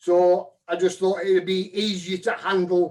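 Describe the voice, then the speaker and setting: A man's high-pitched voice moves at a fairly slow pace. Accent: northern English. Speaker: woodturning demonstrator. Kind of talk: live demo tutorial.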